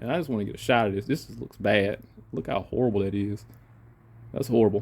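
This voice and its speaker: Talking at a very fast pace, a man uses a fairly low pitch with vocal fry and ordinary pitch variation. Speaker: auto mechanic. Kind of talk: tutorial. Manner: halting, many fillers and restarts; casual.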